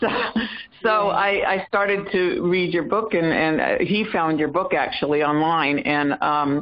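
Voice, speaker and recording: Fairly slow delivery in an American accent, with very even loudness and ordinary pitch variation. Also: woman, fairly low pitch for a woman. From US South, South Carolina. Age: 60s. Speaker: caller. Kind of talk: testimony. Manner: halting.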